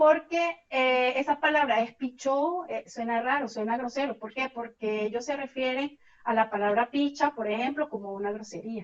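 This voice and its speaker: Her high voice shows ordinary pitch variation as this woman speaks. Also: moderate pace. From Venezuela. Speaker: systems engineer, migrant. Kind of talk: interview.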